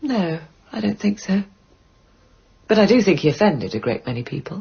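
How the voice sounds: A woman uses a put-on character voice with big pitch swings. Her delivery has vocal fry and a husky, rough edge. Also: medium pitch for a woman, moderate pace.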